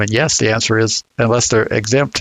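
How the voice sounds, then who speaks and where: Vocal fry colors the speech of a man with an American accent. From US South. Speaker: podcast co-host discussing registry law. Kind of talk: casual discussion. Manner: halting, many repeated words.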